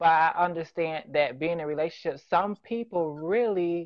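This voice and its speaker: A woman's fairly low-pitched voice at a moderate pace, a plain, everyday voice. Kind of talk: casual debate.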